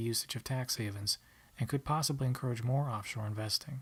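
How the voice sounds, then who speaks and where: A quiet, somewhat breathy man at a fairly quick pace, with fairly even intonation. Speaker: college student. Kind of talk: class presentation narration. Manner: quiet, monotonous.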